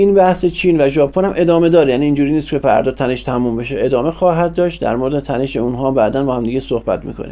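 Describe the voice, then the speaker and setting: At a very fast pace with hardly any pauses, a man talks in a fairly high pitch. His pitch variation is ordinary. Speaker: political commentator. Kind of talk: monologue commentary. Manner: informal conversational.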